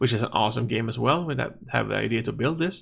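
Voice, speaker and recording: This man's voice has a bright, sharp tone. His intonation is lively. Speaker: gaming youtuber. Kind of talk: gameplay commentary. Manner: halting.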